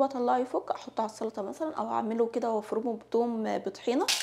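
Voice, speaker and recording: Through noticeable background noise, a woman with an Egyptian accent talks at a very fast pace. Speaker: home cooking vlogger. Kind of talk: vlog narration. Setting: home kitchen. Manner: casual.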